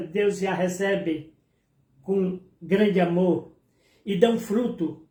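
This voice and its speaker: A man's dark, mellow tone. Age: 70s. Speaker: preacher. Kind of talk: sermon. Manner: hesitant fillers.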